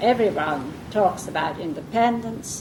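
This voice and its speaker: A woman's lively intonation comes through audible room echo and noticeable background noise. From southern England. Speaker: early-years reading educator. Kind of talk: lecture.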